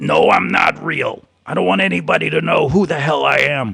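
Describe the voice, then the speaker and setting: A man puts on a raspy character voice. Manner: guarded, defensive, angry.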